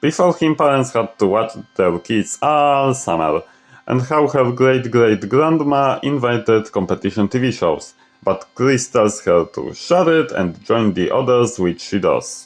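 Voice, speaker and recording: With music in the background, a man at a medium pitch talks fairly slowly using lively intonation. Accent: non-native. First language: not English. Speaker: fan fiction storyteller. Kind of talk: scripted narration.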